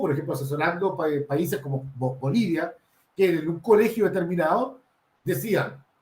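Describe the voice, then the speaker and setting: With a dark, mellow tone, a man talks at a moderate pace in a high pitch with lively intonation. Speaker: researcher and consultant on drug prevention. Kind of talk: panel talk. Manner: hesitant, many fillers.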